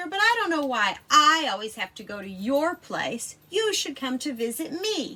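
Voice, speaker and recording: A put-on character voice, high-pitched with very wide pitch swings, is raised and projected. It moves at a moderate pace with hardly any pauses. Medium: read story. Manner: smug, unimpressed.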